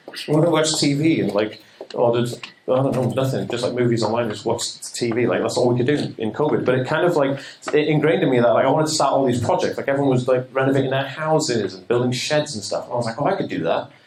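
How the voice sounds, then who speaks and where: A man speaks at a very fast pace with medium pitch and ordinary pitch variation. Noticeable background noise and audible room echo fill the recording. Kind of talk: seminar talk. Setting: stage with audience.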